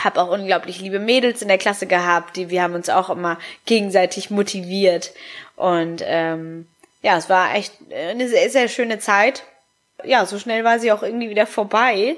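Music plays in the background as a woman speaks at a moderate pace. Her pitch is medium, with ordinary pitch variation. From Hamburg, northern Germany. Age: 20s. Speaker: podcaster and make-up artist. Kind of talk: personal monologue. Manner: casual with many fillers.

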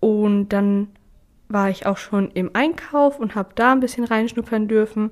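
On a very clean recording with a silent background, a woman with a plain, everyday voice speaks at a fairly slow pace, her fairly high pitch showing ordinary variation. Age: 20s. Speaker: trainee apprentice and training ambassador. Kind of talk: interview.

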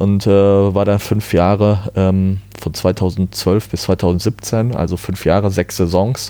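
Over noticeable background noise, a man speaks in a fairly low, monotone, flat voice. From Germany, Ruhr area (Herdecke). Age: 30s. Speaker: amateur tennis player and former umpire. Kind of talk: casual interview.

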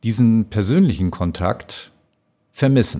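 A man speaks at a very slow pace with a dark, mellow tone. The recording is very clean, with a silent background. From northern Germany, North Sea coast near Danish border. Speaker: customer service manager. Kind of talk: podcast interview. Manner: hesitant, many fillers and repetitions.

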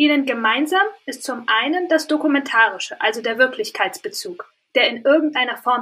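A woman projects a raised voice with a bright, sharp tone and high pitch. Her intonation is lively, and her pace is moderate. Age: 20s. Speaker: media scholar and author. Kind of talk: interview. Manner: formal.

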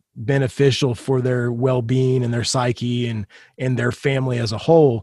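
A somewhat breathy man's voice at a medium pitch. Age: 40s. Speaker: punk rock musician and podcaster. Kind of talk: casual chat.

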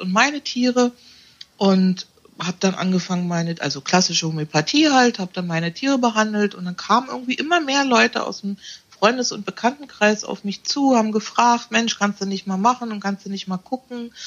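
A woman speaks fairly quickly at medium pitch, somewhat breathy, with lively intonation. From Berlin. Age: 50s. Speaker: animal naturopath. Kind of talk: interview conversation.

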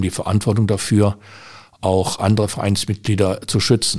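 Over a very clean recording with a silent background, a man speaks with a fairly low pitch and monotone, flat intonation. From Germany, Düsseldorf. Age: 60s. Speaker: shooting club official and civil servant. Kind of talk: interview. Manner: hesitant with frequent fillers.

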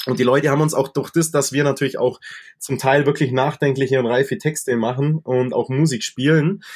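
A man talks at a fairly quick pace with a fairly high pitch, a somewhat breathy voice, very even loudness and fairly even intonation. The recording is very clean, with a silent background. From Allgäu, Bavaria. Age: 20s. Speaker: rock singer and guitarist. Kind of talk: casual chat.

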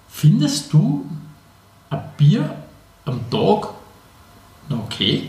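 A man with a fairly high voice speaks at a very slow pace, his pitch swinging very widely, with long, frequent pauses, audible room echo and noticeable background noise. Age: 30s. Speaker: podcast co-host. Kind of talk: casual chat.

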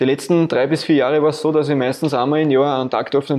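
A man's fairly high voice in an Austrian accent, monotone and flat. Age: 30s. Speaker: insurance agent and film car builder. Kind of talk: interview. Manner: casual, colloquial.

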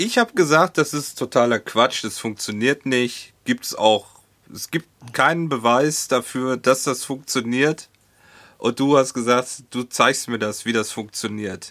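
A man speaks at a fairly slow pace with a bright, sharp tone. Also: medium pitch for a man, ordinary pitch variation, dry, close sound with no echo. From Hohenlimburg, North Rhine-Westphalia, Germany. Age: 40s. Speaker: podcast host. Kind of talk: casual chat. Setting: Skype call.

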